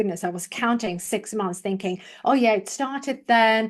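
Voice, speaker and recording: With a British accent, a woman speaks in a fairly high pitch and lively intonation against a quiet background. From Sweden. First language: Swedish. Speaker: public speaking coach. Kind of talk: interview testimony.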